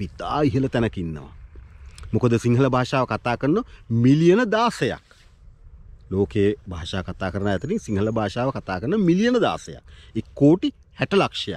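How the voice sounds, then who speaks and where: Very wide pitch swings mark a man's speech at a very slow pace. The sound is dry with no echo. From Sri Lanka. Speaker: YouTube vlogger. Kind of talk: video monologue on language and politics. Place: open country. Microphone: phone near.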